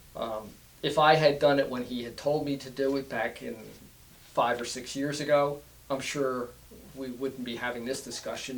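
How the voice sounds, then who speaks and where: In a room with audible echo, a man talks at a moderate pace with monotone, flat intonation. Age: 60s. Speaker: cancer survivor, business owner. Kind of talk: interview. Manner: halting.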